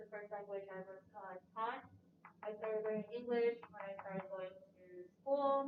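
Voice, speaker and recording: A woman with an American accent speaks fairly slowly at medium pitch. She has a plain, everyday voice. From Prince George's County, Maryland. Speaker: university student. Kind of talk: panel discussion.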